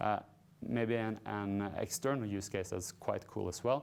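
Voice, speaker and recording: Recorded very cleanly over a silent background, a man speaks at a fairly low pitch with ordinary pitch variation. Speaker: company CEO presenting. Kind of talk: investor presentation. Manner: fast.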